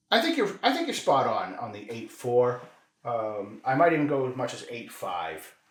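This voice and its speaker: A man's voice rises and falls sharply in loudness, with audible echo from the room. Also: moderate pace. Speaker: whiskey review podcast co-host. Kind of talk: casual tasting chat. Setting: home whiskey room.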